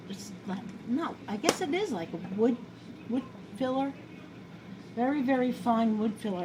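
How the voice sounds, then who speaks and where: With a New York accent, a woman speaks at a moderate pace and a fairly high pitch, using lively intonation and long, frequent pauses over noticeable background noise. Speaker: home cooking video host. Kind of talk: casual cooking tutorial. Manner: chatty, rambling.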